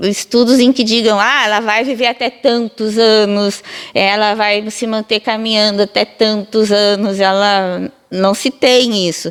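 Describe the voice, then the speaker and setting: Here is a woman with a fairly high pitch. She has an unremarkable speaking voice. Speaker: physiotherapy professor. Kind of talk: interview answer, explanatory.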